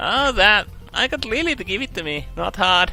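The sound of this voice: With faint music in the background, a man puts on a character voice that is high-pitched, bright and sharp, with lively intonation and vocal fry. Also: moderate pace.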